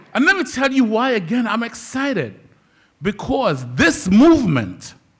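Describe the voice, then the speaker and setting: A man's voice is heard with audible room echo. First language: not English. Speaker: social worker and community organizer. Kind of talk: public speech. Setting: stage with audience. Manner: passionate.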